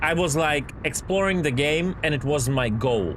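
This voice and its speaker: Noticeable background noise and audible room echo accompany a man speaking with ordinary pitch variation. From Ukraine, Kyiv. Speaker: video game streamer. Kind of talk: casual live-stream chat with viewers. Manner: casual, filler-heavy.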